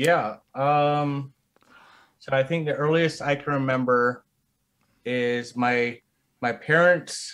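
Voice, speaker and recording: Speaking at a very slow pace with long, frequent pauses, a man with a West Coast accent uses fairly even intonation and a fairly high pitch. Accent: general American, West Coast. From US West Coast (Bay Area, Reno). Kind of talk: casual chat. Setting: video call, livestream.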